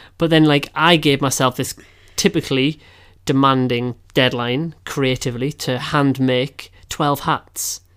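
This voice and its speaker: Over a silent background in a very clean recording, a man with an English accent talks fairly slowly at a fairly high pitch, his intonation fairly even. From England. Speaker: podcast co-host. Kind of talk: casual chat.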